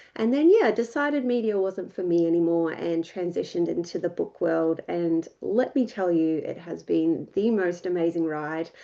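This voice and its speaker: A woman's fairly low, dark, mellow voice in an Australian accent, lively in intonation, at a moderate pace with hardly any pauses. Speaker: ghostwriter and writing mentor. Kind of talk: workshop presentation. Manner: casual, many filler words.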